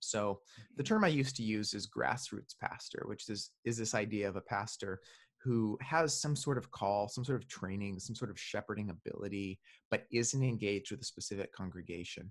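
Against a quiet background, a man speaks at a moderate pace with a fairly low pitch and ordinary pitch variation. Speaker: book editor and author. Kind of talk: casual chat. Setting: remote call.

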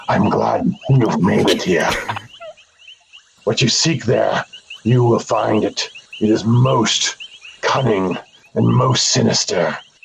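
Growling in a put-on character voice, a man speaks at a medium pitch and a fairly slow pace. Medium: actual play. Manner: cryptic, ominous.

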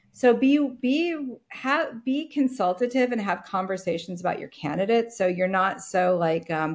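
Speaking in an ordinary speaking voice with an American accent, a woman uses lively intonation at a moderate pace. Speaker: agency founder and business coach. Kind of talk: casual interview chat.

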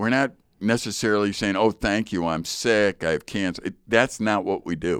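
Here a man talks in a normal speaking voice with a fairly low pitch and ordinary pitch variation. His pace is moderate, on a very clean recording with a silent background. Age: 60s. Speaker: Bible teacher and podcast co-host. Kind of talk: casual chat about Bible passage. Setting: studio.

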